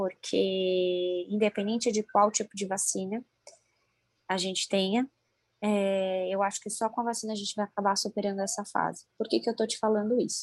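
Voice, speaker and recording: A woman's medium-pitched voice at a moderate pace, monotone and flat, with a dry, close sound and no echo. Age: 20s. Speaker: doctor. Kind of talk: interview. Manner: halting.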